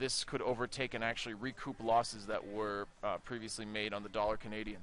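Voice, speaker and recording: A man speaks with an American accent. His pace is very fast. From United States. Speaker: market analyst. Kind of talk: market briefing. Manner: casual, many fillers.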